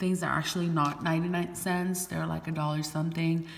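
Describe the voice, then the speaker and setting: In a room with audible echo and noticeable background noise, a woman speaks with a fairly low pitch and monotone, flat intonation. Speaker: beauty vlogger. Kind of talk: product haul video. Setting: garage. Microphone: echo in the room.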